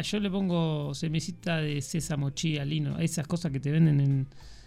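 Over music in the background, a woman speaks with a very deep, low pitch. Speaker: radio show co-host. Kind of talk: casual chat.

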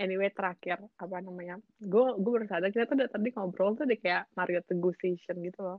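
The voice moves at a very fast pace with hardly any pauses, an animated tone and ordinary pitch variation. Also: woman, medium pitch for a woman. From Indonesia. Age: 20s. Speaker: student living abroad. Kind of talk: casual chat. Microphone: too quiet.

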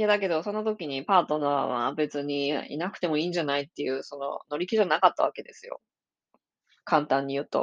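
Talking at a fairly quick pace, a woman with a very deep, low voice uses ordinary pitch variation in a dry, close sound with no echo. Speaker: podcast host and psychic reader. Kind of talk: solo podcast monologue. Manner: casual, with many fillers.

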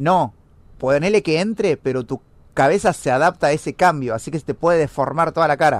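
A man's fairly high voice with an Argentine accent, at a fairly quick pace and with ordinary pitch variation. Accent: Rioplatense Argentine Spanish. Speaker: podcast co-host. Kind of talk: casual chat.

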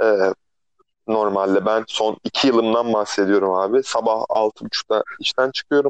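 An ordinary speaking voice at a moderate pace, with very even loudness and a dry, close sound with no echo. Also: man, medium pitch for a man, fairly even intonation. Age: 30s. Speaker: podcast co-host, barista. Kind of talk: casual chat. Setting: phone call. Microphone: phone line, rough sound.

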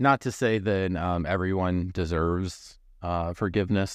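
A man's voice at a moderate pace, with fairly even intonation, over a quiet background. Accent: American. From Missouri. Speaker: podcast host. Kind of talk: casual interview chat.

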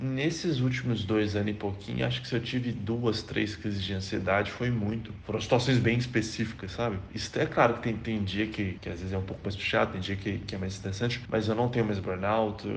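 With noticeable background noise behind him, a man speaks at a fairly low pitch and a fairly quick pace, with ordinary pitch variation and hardly any pauses. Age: 30s. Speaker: software developer. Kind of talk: testimony.

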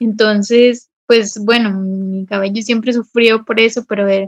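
A woman with a fairly high pitch and an unremarkable speaking voice, fairly slow, with fairly even intonation. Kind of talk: casual chat.

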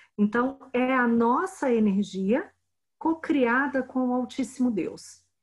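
A woman speaks very slowly in a high voice, with ordinary pitch variation and very even loudness. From Brazil, Brasília. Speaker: spiritual healing teacher and translator. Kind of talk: interview.

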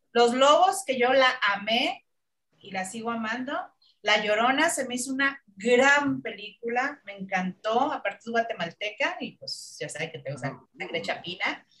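A woman speaks at a moderate pace in a fairly high, bright and sharp voice, with very wide pitch swings and big swings in loudness. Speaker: film critic panelist. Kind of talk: casual chat.

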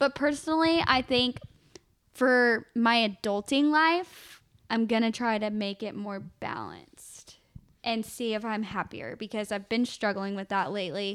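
A woman with an American accent speaks in a plain, everyday voice at a fairly slow pace, her pitch fairly high with ordinary variation, on a very clean recording with a silent background. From Texas. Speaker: podcast co-host. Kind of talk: casual chat.

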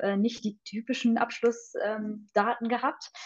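A woman speaks in a fairly high pitch. Her pace is fairly slow. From Hesse, village near Fulda. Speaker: pediatric nurse. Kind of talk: interview. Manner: hesitant, many filler sounds.

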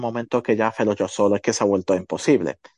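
Over a quiet background, a man's voice sounds dry and close, with no echo. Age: 30s. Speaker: photographer and entrepreneur. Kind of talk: casual interview chat.

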